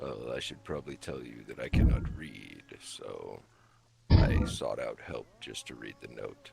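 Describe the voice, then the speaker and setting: Using a put-on character voice, a man delivers his lines at a moderate pace. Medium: game stream. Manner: calm, measured, detached.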